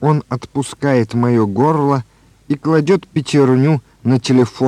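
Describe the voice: The clip features plain reading aloud. It is read without anything added.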